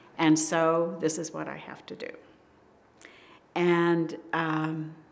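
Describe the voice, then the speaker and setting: Speaking very slowly in a flat monotone, a woman with a fairly low voice is heard with audible room echo. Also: big swings in loudness. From US Northeast, Hudson Valley New York. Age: 80s+. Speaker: local resident, oral history interviewee. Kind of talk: oral history interview. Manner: hesitant, with frequent ums.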